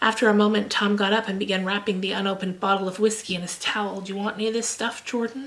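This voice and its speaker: Against noticeable background noise, a soft-spoken woman talks at a very fast pace. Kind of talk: audiobook-style reading of a novel. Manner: soft, gentle, soothing.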